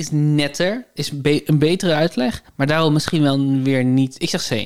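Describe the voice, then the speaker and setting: Delivered at a fairly slow pace, the speech is captured in a very clean recording with a silent background. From Netherlands, north of the rivers. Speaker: podcast co-host. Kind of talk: casual chat. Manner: hesitant, many fillers.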